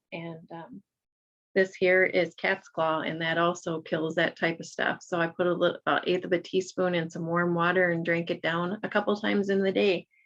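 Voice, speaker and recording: Her fairly low-pitched voice carries fairly even intonation as the woman speaks. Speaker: Reiki practitioner. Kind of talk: casual vlog talk. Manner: fast.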